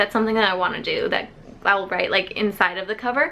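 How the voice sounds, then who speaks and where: A woman with a fairly high pitch speaks in an unremarkable speaking voice, with ordinary pitch variation. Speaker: book YouTuber. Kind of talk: casual vlog storytime.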